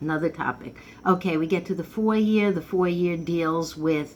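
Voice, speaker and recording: Amid audible room echo, a woman with a fairly low pitch talks at a moderate pace with ordinary pitch variation. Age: 70s. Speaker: numerology teacher. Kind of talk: informal lecture. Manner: casual, conversational.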